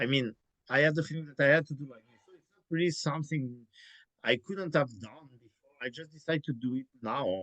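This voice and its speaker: Using a normal speaking voice, a man talks at a fairly quick pace with fairly high pitch, ordinary pitch variation, big swings in loudness and a dry, close sound with no echo. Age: 40s. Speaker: classical guitarist and teacher. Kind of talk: casual chat.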